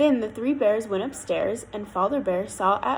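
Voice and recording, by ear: The passage is read aloud. The voice is natural.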